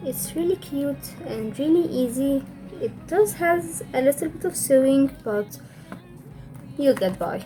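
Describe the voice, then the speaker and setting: Over music in the background, a woman speaks fairly slowly at a fairly high pitch with very wide pitch swings. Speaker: crochet tutorial maker. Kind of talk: casual tutorial narration. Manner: may stutter.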